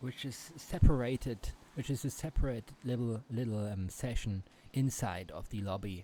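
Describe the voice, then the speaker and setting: On a very clean recording with a silent background, a man speaks at a medium pitch and a moderate pace, somewhat breathy, with a dark, mellow tone and ordinary pitch variation. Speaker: gaming YouTuber. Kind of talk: gameplay commentary. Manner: halting, many fillers and restarts.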